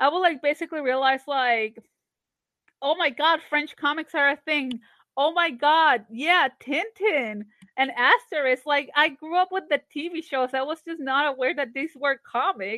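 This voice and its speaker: A woman speaks in a high pitch with ordinary pitch variation. Her pace is fairly slow. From Colombia, Barranquilla. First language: Spanish. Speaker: comic artist and animator. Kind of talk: casual interview.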